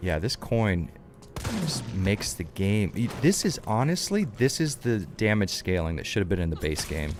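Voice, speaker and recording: Pitched fairly low, a man speaks at a moderate pace with very wide pitch swings. Background noise is noticeable. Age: 20s. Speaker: video game streamer. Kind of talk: casual live-stream commentary. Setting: live stream.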